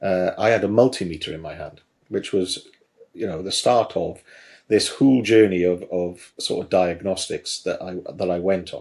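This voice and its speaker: There is a slight Welsh accent and a moderate pace, with big swings in loudness. The recording is very clean, with a silent background. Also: man. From South Wales. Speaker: garage business trainer, former mechanic. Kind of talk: podcast interview. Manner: hesitant, many fillers.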